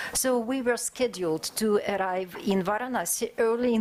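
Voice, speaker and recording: Noticeable background noise fills the recording. Over it, a woman talks. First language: not English. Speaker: conference speaker, historian. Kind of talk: academic conference presentation. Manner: halting, many filler sounds.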